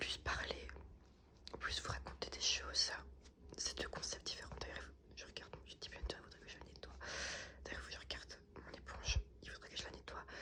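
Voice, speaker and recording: A woman is whispering at a moderate pace with long, frequent pauses. Noticeable background noise can be heard. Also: big swings in loudness. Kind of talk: casual talk to camera, ASMR channel update. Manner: soft-spoken, ASMR style.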